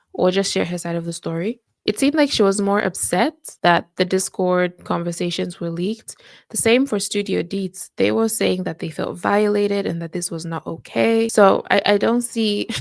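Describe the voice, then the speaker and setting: A woman with a non-native accent and lively intonation, in a very clean recording with a silent background. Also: medium pitch for a woman, moderate pace. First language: not English. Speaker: reaction youtuber. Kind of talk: casual commentary.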